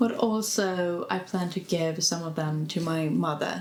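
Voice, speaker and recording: Through noticeable background noise and audible room echo, a woman speaks in a fairly low voice. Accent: Swedish. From Sweden. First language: Swedish. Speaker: lifestyle vlogger. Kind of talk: casual vlog. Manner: casual, hesitant.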